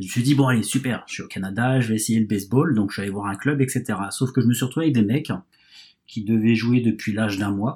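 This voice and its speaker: A man speaks very fast at a medium pitch, his voice somewhat breathy with ordinary pitch variation, on a very clean recording with a silent background. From France. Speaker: baseball fan guest. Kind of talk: casual chat. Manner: halting.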